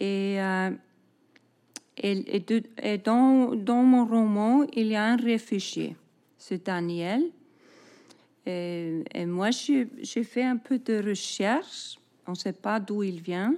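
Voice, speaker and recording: A woman with an Icelandic accent speaks very slowly in a dark, mellow tone. Her pitch varies in an ordinary way, broken by long, frequent pauses. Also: fairly high pitch for a woman. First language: Icelandic (speaking French). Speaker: novelist. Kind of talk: interview. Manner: halting, many repetitions and fillers.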